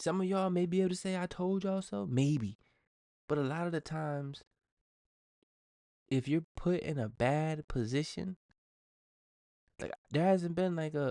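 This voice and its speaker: Mumbling in a dark, mellow tone, a man speaks with ordinary pitch variation and long, frequent pauses, his sound dry and close with no echo. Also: fairly high pitch for a man, moderate pace. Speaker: podcast host. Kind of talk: casual solo podcast monologue.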